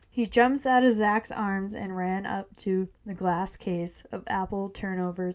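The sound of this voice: Someone reads aloud here. The reading voice is unforced.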